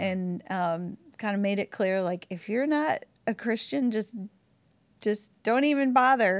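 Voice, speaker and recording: A woman's plain, everyday voice at medium pitch, with an American accent, lively intonation and a fairly slow pace, on a very clean recording with a silent background. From Wisconsin, suburb of Milwaukee. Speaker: churchgoer sharing her story. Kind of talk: interview testimony. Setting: church building recording.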